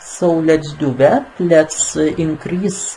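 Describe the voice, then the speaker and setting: A non-native accent at a very slow pace, with noticeable background noise. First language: not English. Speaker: software tutorial maker. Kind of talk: screen-recorded tutorial. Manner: halting, many fillers.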